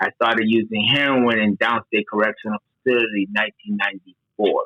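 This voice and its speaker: The speech rushes by at a very fast pace in a monotone, flat intonation. Its loudness stays very even. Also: man, fairly low pitch for a man. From Dominican Republic. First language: Spanish. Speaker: certified peer advocate. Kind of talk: podcast interview, personal testimony.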